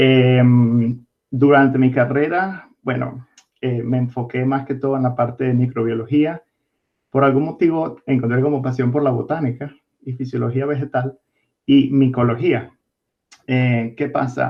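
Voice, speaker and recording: A man talks at a fairly slow pace in a monotone, flat intonation. His pitch sits in the medium range. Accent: Venezuelan. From Venezuela, Caracas. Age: 20s. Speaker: distiller, biologist. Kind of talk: interview.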